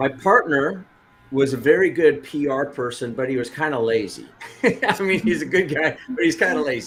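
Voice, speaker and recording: Over noticeable background noise, a man with an American accent and a fairly high pitch speaks at a moderate pace with lively intonation. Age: 60s. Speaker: business coach. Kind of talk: interview. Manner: halting.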